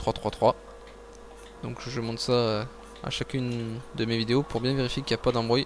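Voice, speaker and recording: There is noticeable background noise as a man speaks at a moderate pace. His medium-pitched voice stays monotone and flat. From France. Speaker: video game player. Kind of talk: gameplay commentary.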